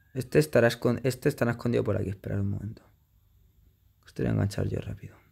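A man talks at a very fast pace in an animated tone. He leaves long, frequent pauses. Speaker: gaming youtuber. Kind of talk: gameplay commentary.

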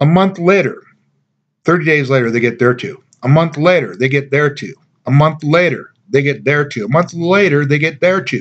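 A man's confident tone, moderate pace and ordinary pitch variation. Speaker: network marketing distributor. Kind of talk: sales pitch. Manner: persuasive, upbeat; confident, emphatic. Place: home room. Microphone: webcam.

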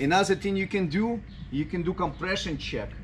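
Lively intonation from a somewhat breathy man amid noticeable background noise. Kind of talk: tutorial. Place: street.

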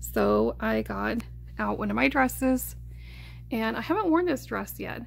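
A woman is speaking. Her pace is fairly slow. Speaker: collector and video creator; video creator. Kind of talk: casual product review vlog. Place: home room. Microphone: phone near.

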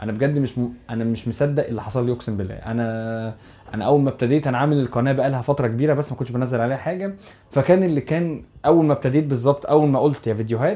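A man speaks very fast with an Egyptian accent, his dark, mellow tone sitting at a medium pitch with ordinary pitch variation. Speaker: YouTuber. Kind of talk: casual vlog address to viewers. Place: home room. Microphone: lapel.

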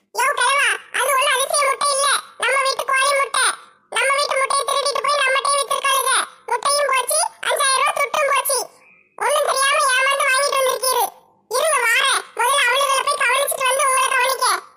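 A woman does a put-on character voice at an extremely high pitch with a monotone, flat intonation. She keeps a moderate pace and very even loudness. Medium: comedy sketch. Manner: sharp, scolding.

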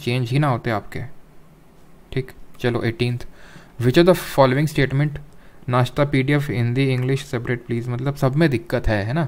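This man has a normal speaking voice at a medium pitch, with fairly even intonation and a moderate pace. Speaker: online exam-prep teacher. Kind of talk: lecture. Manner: conversational, addresses chat viewers.

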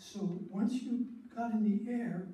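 A man speaks with ordinary pitch variation, and audible room echo is present. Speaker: storyteller. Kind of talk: storytelling talk to an audience. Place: hall. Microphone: camera far.

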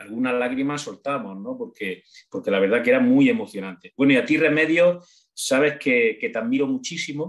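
Fairly quick speech from a man, fairly high in pitch with very wide pitch swings, against a quiet background. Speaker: audience member. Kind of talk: casual spoken thanks and remarks. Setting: video call. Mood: warm, emotional, grateful. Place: home room. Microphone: video call.

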